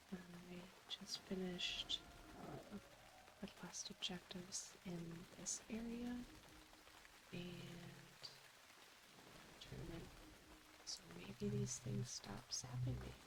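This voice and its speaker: A soft-spoken woman talks in a calm tone at a very slow pace. She takes long, frequent pauses, and there is noticeable background noise. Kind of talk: soft-spoken ASMR gameplay commentary. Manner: soft-spoken, slow, calm.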